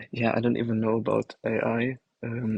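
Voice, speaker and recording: A man speaks with a slight German accent. The sound is dry and close, with no echo. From Germany. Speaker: livestream participant. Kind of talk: casual chat. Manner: hesitant.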